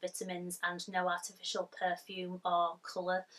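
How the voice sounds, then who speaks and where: A woman speaks at a fairly slow pace. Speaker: haul vlogger. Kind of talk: casual vlog chat. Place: home room.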